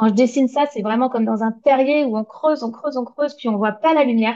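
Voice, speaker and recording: A woman's fairly high-pitched voice, dark and mellow in tone, with ordinary pitch variation. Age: 40s. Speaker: graphic designer and illustrator. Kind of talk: interview. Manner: hesitant.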